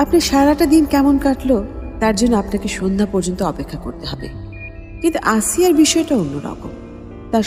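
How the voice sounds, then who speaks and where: Music plays in the background as a woman speaks with very wide pitch swings. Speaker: radio jockey. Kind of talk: horror story narration.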